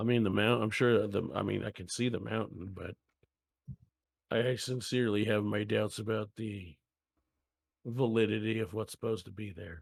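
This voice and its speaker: A man puts on a raspy character voice with fairly low pitch, fairly even intonation, a moderate pace and long, frequent pauses. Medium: actual play. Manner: dry, skeptical.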